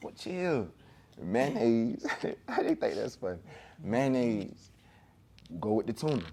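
A man speaks fairly slowly in a medium pitch with a dark, mellow tone, leaving long, frequent pauses. His pitch swings very widely. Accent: Georgia. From Augusta, Georgia. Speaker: rapper. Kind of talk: interview.

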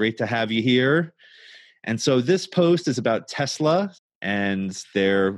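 With an American accent and an ordinary speaking voice, a man speaks fairly slowly with lively intonation against a quiet background. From New York. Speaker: financial advisor, podcast host. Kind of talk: casual chat. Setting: studio.

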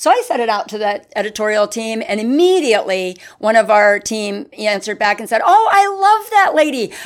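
A normal speaking voice with an American accent, fairly quick, lively in intonation, with hardly any pauses. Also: woman, fairly high pitch for a woman. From northeastern Pennsylvania. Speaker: newspaper advertising sales executive. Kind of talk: casual interview.

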